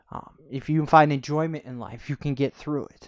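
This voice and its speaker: Against a quiet background, a man with an American accent and an unremarkable speaking voice talks at a fairly quick pace and fairly high pitch in a dry, close sound with no echo. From upstate New York (Corning). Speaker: podcaster and YouTuber. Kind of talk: casual monologue, self-interview.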